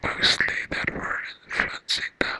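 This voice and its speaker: In a dry, close sound with no echo, a woman whispers at a very slow pace. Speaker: ASMR artist and book reviewer. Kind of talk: casual rambling review to camera. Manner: whispered, soft, rambling.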